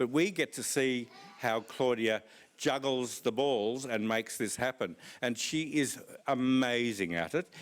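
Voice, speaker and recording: A man with an Australian accent, medium pitch, and a fairly slow pace. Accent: Australian, flat vowels. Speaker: conference speaker. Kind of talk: conference talk.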